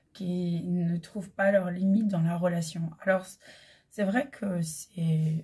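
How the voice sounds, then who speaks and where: A woman's dark, mellow voice at medium pitch, very slow and fairly even in intonation. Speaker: holistic coach and medium. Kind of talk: spiritual guidance talk. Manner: hesitant with many fillers.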